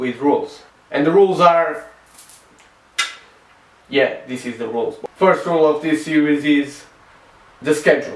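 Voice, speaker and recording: Noticeable background noise behind a man's fairly high voice with fairly even intonation. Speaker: DIY filmmaking video creator. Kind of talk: casual talk to camera.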